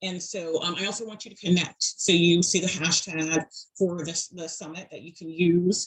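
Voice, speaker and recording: A woman with a Southern US accent speaks in a fairly low voice with a flat, monotone delivery, though her loudness swings widely. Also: moderate pace. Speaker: public speaker and advocate. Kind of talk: presentation. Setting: video call from bedroom. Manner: frequent fillers and hesitations.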